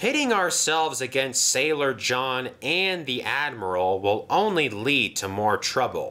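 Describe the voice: Simple, plain reading aloud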